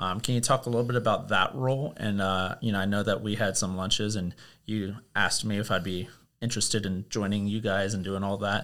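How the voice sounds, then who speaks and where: Over a very clean recording with a silent background, a man talks at a fairly quick pace in an unremarkable speaking voice, fairly low in pitch with fairly even intonation. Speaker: podcast host. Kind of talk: casual interview.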